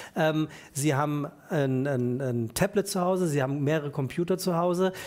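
Fairly high-pitched for a man, this is a plain, everyday voice with ordinary pitch variation. He keeps a moderate pace and very even loudness. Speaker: talk show host. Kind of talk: talk show interview questions. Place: studio. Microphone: headset.

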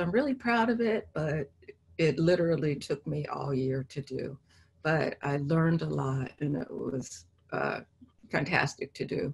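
A woman with an American accent speaks at a fairly slow pace. Her voice is very deep and low, with very wide pitch swings. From Los Angeles. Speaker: painter; artist giving a lecture. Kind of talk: artist lecture with Q&A. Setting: video call. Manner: halting, many fillers. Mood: reflective, warm. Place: home room. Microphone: video call.

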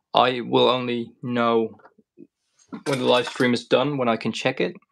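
At a fairly slow pace, a man speaks in a monotone, flat intonation against a quiet background. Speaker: paint maker streamer. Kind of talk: casual live stream chat.

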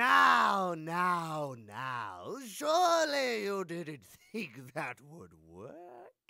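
Put-on character voice at a middle pitch and a very slow pace. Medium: voice reel. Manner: pompous, condescending.

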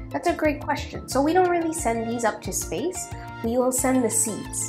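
There is clear music in the background. Over it, a woman talks at a moderate pace. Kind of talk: interview answer.

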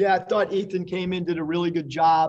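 Fairly even intonation from a male speaker. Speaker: basketball head coach. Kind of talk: press conference answer. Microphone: video call.

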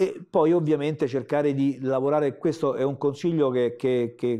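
Against a quiet background, a man speaks at a moderate pace with a fairly high pitch. His tone is dark and mellow, and his intonation is fairly even. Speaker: comic book artist. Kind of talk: interview answer. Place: studio.

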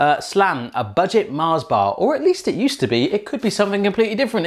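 A man's high voice with an English accent, a very fast pace and very wide pitch swings, over a quiet background. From England. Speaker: YouTube cooking channel host; food vlogger. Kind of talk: casual taste-test video. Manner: animated. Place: kitchen. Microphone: new microphone, less echoey; lapel.

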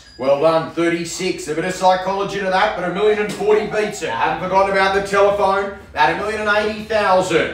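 The speaker is a man with ordinary pitch variation and a fairly quick pace. His voice carries audible room echo. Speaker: auctioneer. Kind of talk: property auction call. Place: office.

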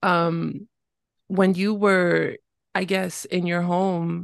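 Over a quiet background, a woman speaks with a New York accent at a fairly low pitch. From New York City. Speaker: podcast host. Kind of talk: casual interview.

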